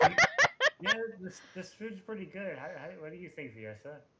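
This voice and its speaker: A put-on character voice sits at a middle pitch. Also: fairly slow pace. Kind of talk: casual.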